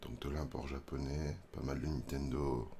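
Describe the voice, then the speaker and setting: A man speaks in a soft-spoken way. His voice has vocal fry. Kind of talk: ASMR roleplay. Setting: reverb effect.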